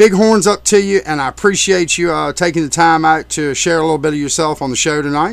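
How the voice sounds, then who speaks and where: A man's voice, an ordinary speaking voice, sits fairly high in pitch and shows ordinary pitch variation as he moves along at a fairly quick pace. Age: 40s. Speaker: radio DJ. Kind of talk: interview. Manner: casual.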